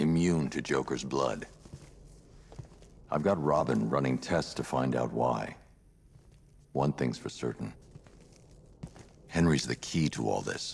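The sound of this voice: A man puts on a character voice with an extremely low pitch, vocal fry and a slightly husky edge. He talks at a slow pace with long, frequent pauses. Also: ordinary pitch variation.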